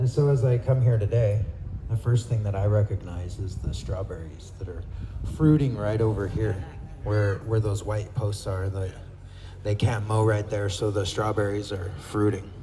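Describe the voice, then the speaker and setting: A soft-spoken man talks at a moderate pace with a fairly low pitch and ordinary pitch variation. There is noticeable noise in the background. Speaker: horseback traveler and traditional foods forager. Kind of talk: speech to an outdoor gathering.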